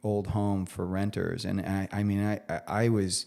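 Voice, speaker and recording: Very clean and set against a silent background, the recording has a man with an ordinary speaking voice and fairly low pitch speaking at a fairly slow pace. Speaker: chef. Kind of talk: casual chat.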